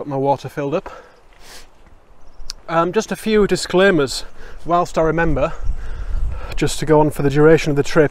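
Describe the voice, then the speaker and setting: Speaking with a Yorkshire accent, a man at a fairly high pitch keeps a moderate pace, takes long, frequent pauses, and shows ordinary pitch variation. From Yorkshire, northern England. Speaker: hiking vlogger. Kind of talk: casual vlog to camera. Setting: outdoors on a mountain trail. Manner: casual, hesitant with fillers.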